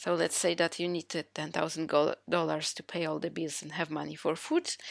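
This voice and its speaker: A woman speaks with a non-native accent at a moderate pace. Her pitch is fairly low. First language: not English. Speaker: podcast host. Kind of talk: solo podcast monologue. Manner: halting.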